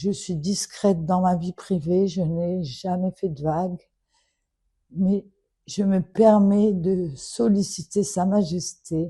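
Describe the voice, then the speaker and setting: Very slow, somewhat breathy speech from a woman at medium pitch, with a dark, mellow tone, ordinary pitch variation and a quiet background. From Morocco. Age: 70s. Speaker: daughter of a public figure making an appeal. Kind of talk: public plea. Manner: emotional, earnest.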